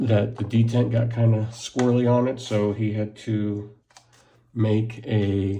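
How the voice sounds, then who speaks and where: Mumbling in a monotone, flat way, a man speaks with a dark, mellow tone and a somewhat breathy sound. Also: medium pitch for a man, fairly slow pace. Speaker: knife reviewer. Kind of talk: unboxing video.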